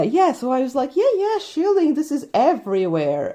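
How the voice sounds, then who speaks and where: This woman has a dark, mellow tone and a Polish accent, and her pitch swings very widely. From Poland. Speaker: book reviewer, witchcraft content creator. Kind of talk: casual book review. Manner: hesitant, with many fillers.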